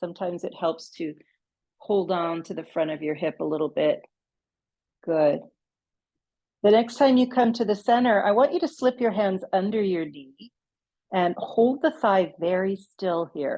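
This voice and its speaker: A calm woman speaks at a medium pitch with a dark, mellow tone. Her intonation is lively, broken by long, frequent pauses. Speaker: yoga instructor. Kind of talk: guided yoga class. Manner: slow, calm pacing.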